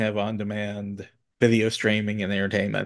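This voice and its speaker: A man talks at a moderate pace in a medium-pitched voice. The background is quiet. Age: 40s. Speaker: podcast host. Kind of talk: interview. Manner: halting.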